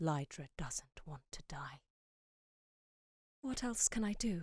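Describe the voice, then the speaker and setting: The intonation is lively while the pace is very slow. The recording is very clean, with a silent background. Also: woman. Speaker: actor. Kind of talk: dark fantasy story reading. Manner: regal, haunting.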